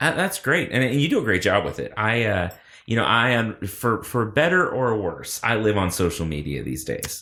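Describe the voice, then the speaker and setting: Vocal fry marks a man's speech as his pitch swings very widely. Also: medium pitch for a man, moderate pace, very clean recording, silent background. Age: 30s. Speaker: podcast host. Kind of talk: casual chat. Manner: animated.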